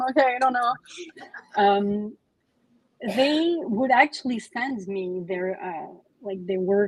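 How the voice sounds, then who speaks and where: A woman with a Quebec accent speaks at a fairly high pitch and moderate pace, her pitch varying in an ordinary way. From Quebec, Canada. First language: French. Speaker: comic author. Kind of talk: book club interview. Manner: halting, many fillers.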